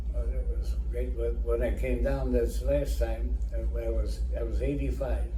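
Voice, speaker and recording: A man with a very deep, low pitch talks at a moderate pace in monotone, flat intonation with hardly any pauses and very even loudness, with audible room echo and noticeable background noise. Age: 90s. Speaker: elderly interviewee. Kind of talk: casual interview. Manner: halting.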